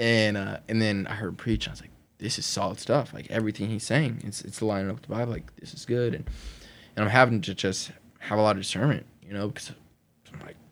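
A very fast-talking man with an American accent, fairly low pitch, fairly even intonation and big swings in loudness. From Oklahoma, US (Lawton). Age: 20s. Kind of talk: testimony. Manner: casual, conversational.

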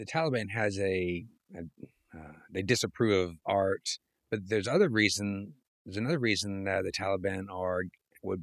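In a dry, close sound with no echo, a man with a plain, everyday voice talks at a fairly quick pace in a fairly low pitch with ordinary pitch variation. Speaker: podcast host. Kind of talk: casual interview.

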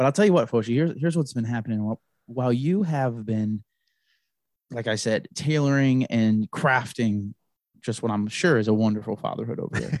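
An unremarkable speaking voice from a man, medium in pitch with ordinary variation, at a fairly quick pace. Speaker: co-host friend. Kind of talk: casual chat.

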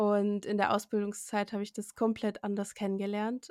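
A woman with an unremarkable speaking voice talks at a moderate pace and medium pitch. The recording is very clean, with a silent background. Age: 20s. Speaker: medical assistant. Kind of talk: interview.

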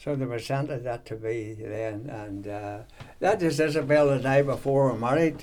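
A man speaks with a Northern Irish accent. His pitch is medium. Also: ordinary pitch variation, moderate pace. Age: 90s. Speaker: veteran runner. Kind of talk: casual chat. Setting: at home. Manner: halting.

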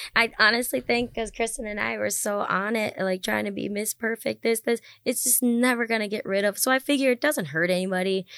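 A woman with an American accent speaks in a plain, everyday voice, fairly high in pitch with ordinary pitch variation, fairly quick with hardly any pauses, in a dry, close sound with no echo. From US Midwest, Wisconsin. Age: 30s. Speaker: singer. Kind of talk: casual chat.

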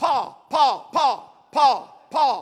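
A put-on character voice pitched high.

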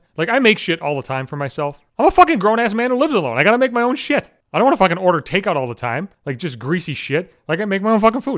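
A man speaks in an animated tone at a very fast pace, with a high pitch and very wide pitch swings. He hardly pauses, and the recording is very clean with a silent background. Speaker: podcaster. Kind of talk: casual comedic rant, profane. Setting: home recording, solo. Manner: loud, projecting; profane, animated.

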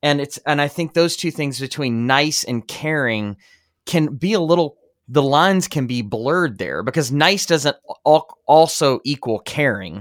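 Speaking at a fairly slow pace, a man with a plain, everyday voice uses lively intonation at a fairly high pitch, recorded very cleanly over a silent background. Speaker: podcast host. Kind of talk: casual podcast interview.

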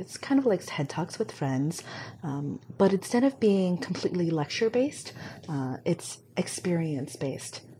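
At a moderate pace, a woman with a dark, mellow tone, a fairly low pitch and a somewhat breathy voice speaks with an American accent. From Hong Kong then US from age six. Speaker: community director. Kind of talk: casual interview chat.

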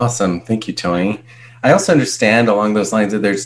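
Speaking in an unremarkable speaking voice, a man with a fairly low pitch shows ordinary pitch variation. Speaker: podcast co-host. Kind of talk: podcast hosting.

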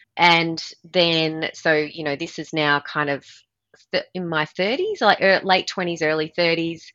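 A woman with an Australian accent, fairly low in pitch, with a bright, sharp tone, very slow in pace against a quiet background. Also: fairly even intonation. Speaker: performance coach and former triathlete. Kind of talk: podcast interview.

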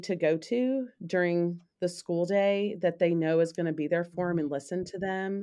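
A woman at a medium pitch with an American accent, a fairly slow pace, and a very clean recording with a silent background. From US South, Memphis, Tennessee. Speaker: school counselor. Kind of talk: casual chat.

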